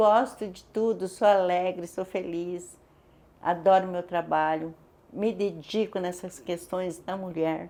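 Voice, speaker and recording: In a very clean recording with a silent background, a woman speaks at a very slow pace and a medium pitch. Her tone is dark and mellow, her intonation fairly even, and her loudness swings widely. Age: 60s. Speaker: women's advocate. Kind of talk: testimony.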